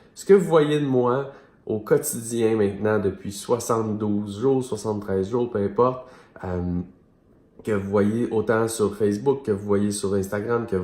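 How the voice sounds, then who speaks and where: With a Quebec accent, a man speaks fairly slowly at a medium pitch, his pitch varying in an ordinary way. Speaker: business mentor for entrepreneurs. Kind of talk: video monologue / coaching talk. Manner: casual, many fillers.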